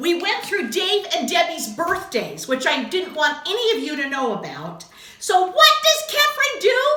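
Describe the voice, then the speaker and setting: With a raised, projected voice at an extremely high pitch, a woman speaks at a moderate pace with very wide pitch swings, amid noticeable background noise and audible room echo. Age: 60s. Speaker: craft video host. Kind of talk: casual chat.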